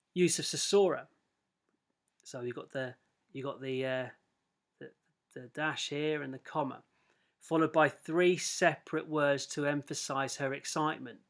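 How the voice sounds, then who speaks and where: Long, frequent pauses and big swings in loudness break up speech delivered with fairly even intonation. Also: man, fairly high pitch for a man. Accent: English. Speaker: English teacher. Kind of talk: lecture. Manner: fast.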